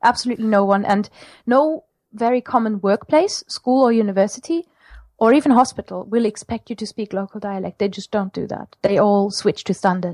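Speaking at a fairly quick pace with a German accent, a woman with a fairly high pitch sounds dry and close, with no echo. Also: ordinary pitch variation. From Germany, Mosel region. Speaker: language teacher. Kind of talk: casual interview.

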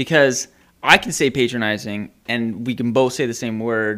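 A man with an ordinary speaking voice and a Canadian accent speaks at medium pitch, fairly slowly, with fairly even intonation. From Ontario, Canada. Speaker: psychotherapist. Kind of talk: casual chat.

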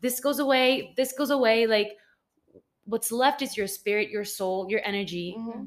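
At a moderate pace and with ordinary pitch variation, this is a plain, everyday voice. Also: woman, fairly high pitch for a woman. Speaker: podcast co-host. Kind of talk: casual interview chat.

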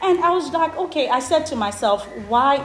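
A woman at a moderate pace, lively in intonation, over noticeable background noise. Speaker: education consultancy founder. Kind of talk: interview.

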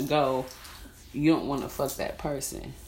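The room's echo can be heard clearly. A woman talks in a very deep, low pitch. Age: 30s. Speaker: podcaster. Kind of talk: casual monologue. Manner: animated.

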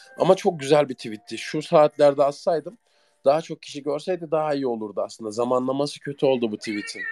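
With music playing underneath, this man's fairly quick delivery carries ordinary pitch variation. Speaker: internet radio host. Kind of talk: casual live chat with listeners. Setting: online audio chat room. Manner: halting at times.

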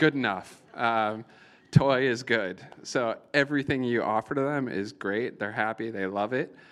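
In a normal speaking voice, an American-accented man talks at a fairly slow pace and medium pitch with ordinary pitch variation against a quiet background. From Iowa, US Midwest. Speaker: tech entrepreneur, company founder. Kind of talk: live Q&A interview. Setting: event with live audience.

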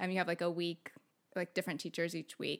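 A woman with a Californian accent and a fairly low pitch has a bright, sharp tone in a very clean recording with a silent background. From US West Coast, San Diego. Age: 30s. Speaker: former evangelical missionary. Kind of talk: casual interview chat.

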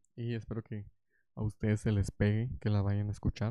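The speaker mumbles at a fairly quick pace. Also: man. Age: young. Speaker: podcaster. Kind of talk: casual monologue. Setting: home recording with headphones. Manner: mumbling.

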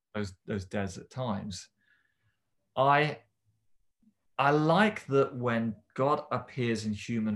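Against a quiet background, a man talks with a southern English accent and ordinary pitch variation. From southern England, Romsey near Southampton. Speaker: church member discussing scripture. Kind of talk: casual chat.

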